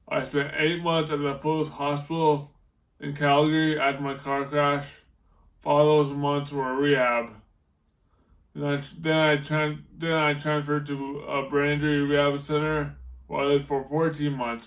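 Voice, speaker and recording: Audible room echo surrounds a man talking at a moderate pace. His intonation is monotone and flat. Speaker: car crash survivor speaker. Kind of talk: testimony. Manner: halting, repeated false starts.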